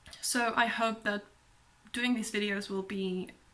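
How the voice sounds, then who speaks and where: A woman at medium pitch speaks in a monotone, flat intonation against noticeable background noise. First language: not English, also speaks German. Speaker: book vlogger. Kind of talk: casual vlog monologue. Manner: hesitant, many pauses and ums.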